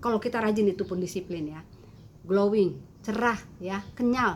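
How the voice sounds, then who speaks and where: Fairly slow delivery from a woman, medium in pitch, ordinary in its pitch variation. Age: 60s. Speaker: beauty content creator. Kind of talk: tutorial. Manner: halting.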